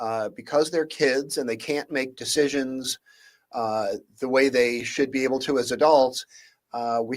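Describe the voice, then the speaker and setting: Keeping a moderate pace, the man talks in an American accent. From Michigan. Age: 60s. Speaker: legal scholar. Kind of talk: talk show interview. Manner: halting, many fillers.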